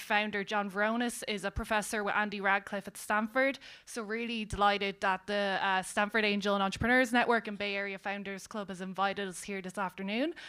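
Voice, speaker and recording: A woman's medium-pitched, bright and sharp voice at a fairly quick pace, flat and monotone, with hardly any pauses, on a very clean recording with a silent background. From Ireland. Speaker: panel moderator. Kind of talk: panel moderation. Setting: stage with audience.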